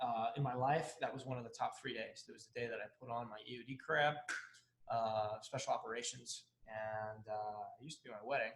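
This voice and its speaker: The speaker is a man going at a fairly quick pace. His volume rises and falls in big swings. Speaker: fear coach and author, former Navy bomb technician. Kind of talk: casual interview chat. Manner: quieter than the host.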